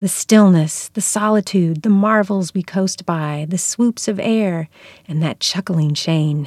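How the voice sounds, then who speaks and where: In a very clean recording with a silent background, a woman with an American accent uses a normal speaking voice at a fairly slow pace, her medium pitch showing ordinary variation. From US South (North Carolina, southern Virginia). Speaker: writer and poetry teacher. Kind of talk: lecture.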